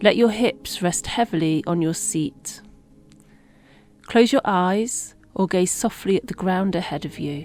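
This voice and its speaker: Music plays in the background as a woman speaks at a fairly slow pace with long, frequent pauses. Her medium-pitched voice has a calm, soothing tone and ordinary pitch variation. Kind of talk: guided meditation. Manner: calm, soothing, slow.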